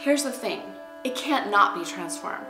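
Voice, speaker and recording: Against faint background music, a woman speaks at a fairly quick pace with audible room echo. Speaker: art teacher. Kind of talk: inspirational teaching talk. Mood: earnest, spiritual, expressive.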